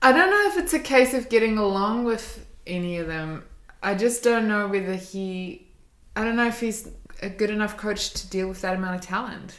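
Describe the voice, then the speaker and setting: The voice carries a New Zealand accent. Audible room echo surrounds it. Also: woman, fairly high pitch for a woman, ordinary pitch variation, moderate pace. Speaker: podcast co-host. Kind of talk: casual chat.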